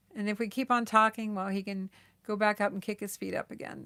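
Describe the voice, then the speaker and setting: The recording is very clean, with a silent background. A woman talks in an ordinary speaking voice at medium pitch. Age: 60s. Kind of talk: casual livestream chat reading viewer comments. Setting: home livestream on laptop.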